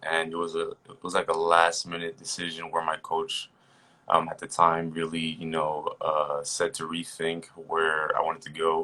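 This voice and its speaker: A man with a New Jersey accent, very deep and low in pitch, bright and sharp in tone, at a moderate pace. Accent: New Jersey American English. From New Jersey, US (born in Haiti). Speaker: personal trainer. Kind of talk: casual interview chat.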